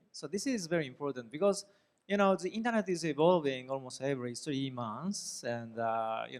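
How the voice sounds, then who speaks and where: A man talks with a Japanese accent. His intonation is lively and his pace is moderate. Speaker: professor. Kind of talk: lecture. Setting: classroom.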